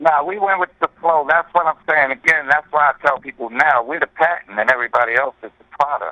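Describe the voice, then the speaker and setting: Speaking with a New York accent, a man with fairly high pitch moves at a fairly quick pace with hardly any pauses and ordinary pitch variation. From New York, the Bronx. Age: 60s. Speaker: hip-hop pioneer MC. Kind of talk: radio interview. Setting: phone call.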